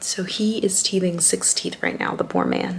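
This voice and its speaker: A woman's whispering moves at a moderate pace while noticeable background noise goes on. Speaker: vlogger. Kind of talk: casual vlog talk. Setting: at home.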